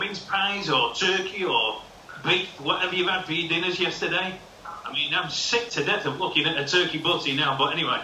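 Over noticeable background noise, a man with a high-pitched voice projects loudly at a moderate pace. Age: 50s. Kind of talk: casual chat. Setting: video call.

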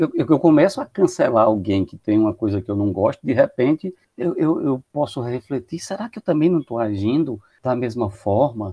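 Speaking at a moderate pace, a man uses a medium pitch with very wide pitch swings. The recording is very clean with a silent background, dry and close with no echo. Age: 50s. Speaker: psychologist. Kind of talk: podcast discussion.

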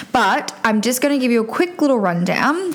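This woman talks with noticeable background noise in the recording. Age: 20s. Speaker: podcast host, nurse and cosmetic injector. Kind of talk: solo beauty podcast monologue. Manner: casual with many fillers.

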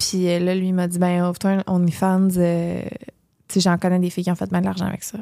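A dark, mellow tone at a fairly quick pace. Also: woman. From Gaspésie, Quebec. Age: 20s. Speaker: content creator and podcast co-host. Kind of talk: casual interview chat.

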